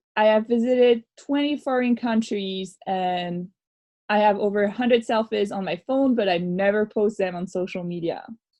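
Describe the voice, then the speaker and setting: Speech with a French accent moves at a moderate pace in a dark, mellow tone. The pitch varies in an ordinary way. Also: woman, fairly high pitch for a woman. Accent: French accent, noticeable. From France. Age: 30s. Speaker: radio show host, former youth worker. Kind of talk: casual podcast chat. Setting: remote recording.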